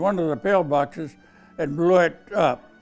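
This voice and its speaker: Music plays in the background as a man with an American accent speaks in a fairly high pitch with lively intonation. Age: 80s+. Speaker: war veteran. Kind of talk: interview answer.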